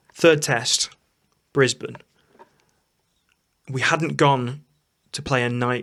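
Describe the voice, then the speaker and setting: Long, frequent pauses in a man's very slow speech. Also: medium pitch for a man. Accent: East Midlands. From Nottinghamshire, England. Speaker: cricket podcast co-host. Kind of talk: casual chat. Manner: animated.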